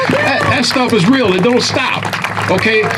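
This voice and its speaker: Recorded with noticeable background noise and audible room echo, a man speaks at a moderate pace. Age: 60s. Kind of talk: rally speech. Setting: outdoor rally in a park.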